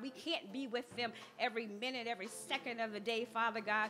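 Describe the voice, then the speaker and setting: A woman talks with fairly even intonation. Faint music plays in the background. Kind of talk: public prayer. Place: church. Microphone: podium.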